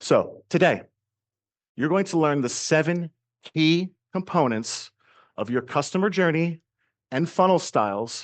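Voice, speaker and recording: A man with a high voice speaks in an energetic tone and lively intonation, leaving long, frequent pauses, in a dry, close recording with no echo and a quiet background. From US East Coast. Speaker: marketing coach. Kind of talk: business training talk.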